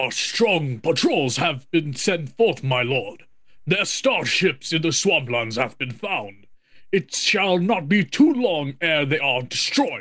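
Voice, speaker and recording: A man's put-on character voice, fairly high in pitch with very wide pitch swings, at a fairly slow pace. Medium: stage play.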